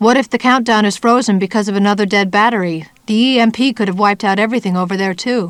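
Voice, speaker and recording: A woman's shaky, put-on character voice at medium pitch, very fast with hardly any pauses and fairly even intonation. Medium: read story. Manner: anxious.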